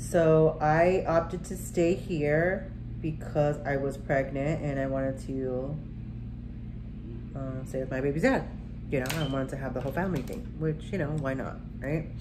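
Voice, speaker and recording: Noticeable background noise and audible room echo around a woman with an American accent. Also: moderate pace. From Arizona and military moves. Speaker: beauty vlogger. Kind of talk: casual storytelling during makeup tutorial. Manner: conversational with many fillers.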